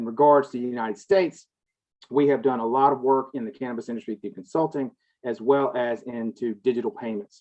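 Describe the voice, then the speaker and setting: Someone talks at a fairly quick pace with a Southern US accent. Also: man, medium pitch for a man, ordinary pitch variation. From US South. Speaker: cannabis industry consultant. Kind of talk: panel discussion.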